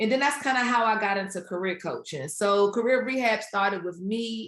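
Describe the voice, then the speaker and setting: A woman talks with a DC area accent and ordinary pitch variation. The background is quiet. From Washington DC area. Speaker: career coach and author. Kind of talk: interview. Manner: casual.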